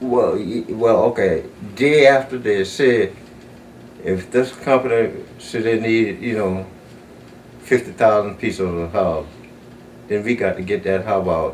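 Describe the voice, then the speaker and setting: Speaking in a Southern US accent, a man keeps a medium pitch with ordinary pitch variation. He goes at a fairly slow pace with long, frequent pauses. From South Carolina. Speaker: retired factory supervisor. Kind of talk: oral history interview answer.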